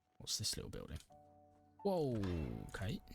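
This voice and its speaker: A man speaks with a British accent. Music plays in the background. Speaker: streamer playing games. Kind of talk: gameplay commentary with story narration. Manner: narrative storytelling.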